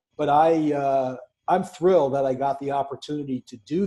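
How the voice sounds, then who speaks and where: A man with a New York accent, fairly high-pitched, with a dark, mellow tone, fairly even intonation and a fairly slow pace. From New York City. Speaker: podcast co-host. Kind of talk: casual chat.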